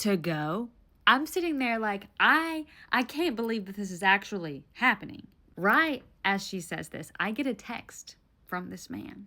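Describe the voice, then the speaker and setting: In a very clean recording with a silent background, a woman with a Southern US accent speaks fairly slowly in a fairly high, bright, sharp voice, her animated tone carrying very wide pitch swings and big swings in loudness. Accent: Southern US, mild. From Tennessee, US South. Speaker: storyteller. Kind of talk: storytime monologue.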